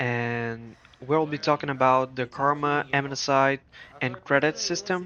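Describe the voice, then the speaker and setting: A man with a non-native accent, medium pitch, fairly even intonation and a fairly slow pace. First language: not English. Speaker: video game guide creator. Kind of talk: scripted tutorial narration.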